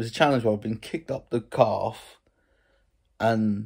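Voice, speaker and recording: A man's fairly low, dark and mellow voice with an English accent, at a fairly quick pace over a quiet background. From England. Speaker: YouTube vlogger. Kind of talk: casual vlog. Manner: animated. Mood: opinionated, mildly frustrated. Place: home room. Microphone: phone near.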